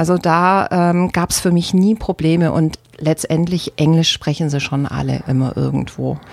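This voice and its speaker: This woman has an ordinary speaking voice, fairly low in pitch and fairly even in intonation, moving at a moderate pace with hardly any pauses. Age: 50s. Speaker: former shop owner. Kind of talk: radio interview. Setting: radio studio.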